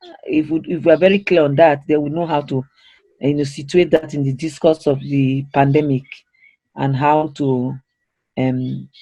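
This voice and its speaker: A man's dark, mellow voice, somewhat breathy, with monotone, flat intonation. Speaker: training facilitator. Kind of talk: interactive training session. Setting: online video call.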